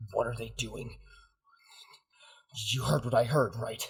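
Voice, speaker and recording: A man's raspy, put-on character voice, medium in pitch, at a moderate pace. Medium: actual play. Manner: urgent, emotional, swearing.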